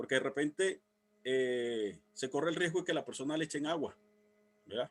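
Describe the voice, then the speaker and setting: The dry, close recording with no echo captures a man talking at a very fast pace with ordinary pitch variation. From Venezuela. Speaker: civil protection instructor. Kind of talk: workshop lecture. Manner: halting.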